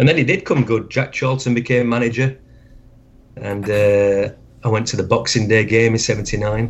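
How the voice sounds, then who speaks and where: Speaking with a Yorkshire accent, a man keeps his intonation fairly even. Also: medium pitch for a man, moderate pace. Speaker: football fan. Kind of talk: interview.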